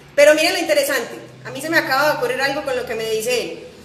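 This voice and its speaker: Over noticeable background noise, a woman with a high pitch speaks at a very fast pace. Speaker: piano teacher. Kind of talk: live stream chat. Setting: Instagram live.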